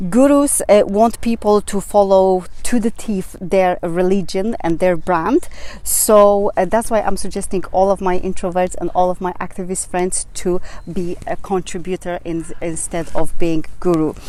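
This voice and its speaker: With a Polish accent, a woman speaks at medium pitch and a fairly slow pace with fairly even intonation, over noticeable background noise. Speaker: business coach vlogger. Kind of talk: vlog advice talk. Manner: halting, many fillers.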